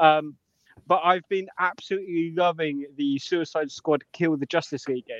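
With a British accent and fairly even intonation, a man at a fairly high pitch talks at a moderate pace in a dry, close sound with no echo. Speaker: podcast co-host. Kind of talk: casual banter podcast.

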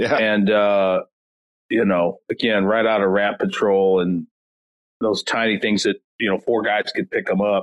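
At a fairly slow pace, a man with an American accent keeps his loudness very even. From US Midwest, North County St. Louis, Missouri. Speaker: retired Marine veteran. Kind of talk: interview conversation.

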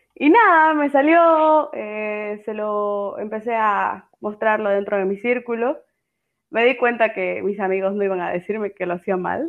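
Her intonation is lively. The woman's voice is fairly high-pitched. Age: 20s. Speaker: writer. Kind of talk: interview.

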